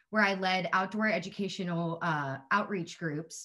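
A woman's medium-pitched voice with an American accent and ordinary pitch variation, over a quiet background. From Texas, San Antonio. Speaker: alumna, conservation communicator. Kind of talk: short introduction speech. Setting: video call. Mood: warm, grateful. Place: home room. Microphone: video call.

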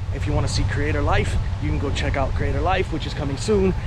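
Through loud background noise, a man talks very fast in a dry recording with no echo. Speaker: vlogger. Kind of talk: casual vlog chat. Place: open country. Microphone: phone near.

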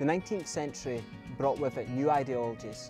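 Over clear music in the background, a man talks at a fairly quick pace with ordinary pitch variation, and the sound is dry with no echo. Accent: Scottish. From Scotland. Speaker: Scottish Traveller heritage storyteller. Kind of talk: documentary history narration. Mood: earnest, serious. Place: open country. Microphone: lapel.

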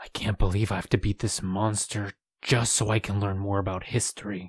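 A man's put-on character voice, fairly low and monotone with flat intonation, at a moderate pace on a very clean recording with a silent background. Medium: read story. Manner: analytical, cold.

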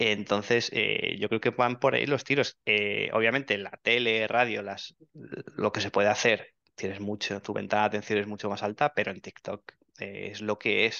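A man's fairly low voice with vocal fry and fairly even intonation. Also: moderate pace. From Spain, Soria province (rural Castile). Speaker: digital marketing expert. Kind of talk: interview. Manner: halting, frequent repetitions and fillers.

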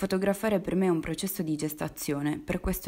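The voice moves at a very fast pace with a dark, mellow tone and fairly even intonation. The recording is very clean, with a silent background. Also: woman. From Sardinia. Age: 20s. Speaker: visual artist. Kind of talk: scripted narration.

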